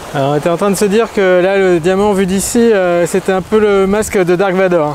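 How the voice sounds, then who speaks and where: This man's voice sits high in pitch, with fairly even intonation. He talks at a moderate pace. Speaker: sailing vlogger. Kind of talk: casual vlog narration. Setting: on a sailboat.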